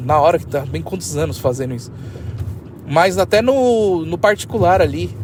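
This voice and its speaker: Noticeable background noise sits behind this man. His pitch swings very widely. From Brazil. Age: 30s. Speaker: podcaster. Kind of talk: solo podcast monologue. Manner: halting, slight stammer; casual, rambling.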